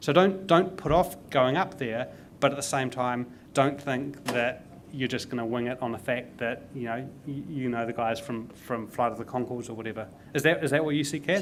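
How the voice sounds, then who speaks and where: With a New Zealand accent, a man talks at a medium pitch and a moderate pace with ordinary pitch variation. Noticeable background noise is present. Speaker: tech consultant and investor. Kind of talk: panel conversation. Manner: repeats words, stumbling.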